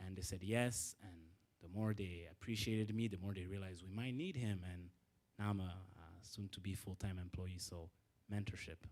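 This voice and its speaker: This man has a very deep, low pitch and fairly even intonation. He goes at a moderate pace, with big swings in loudness. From Rwanda. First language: French. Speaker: alumni panelist, business development professional. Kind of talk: panel talk to students. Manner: halting, many fillers.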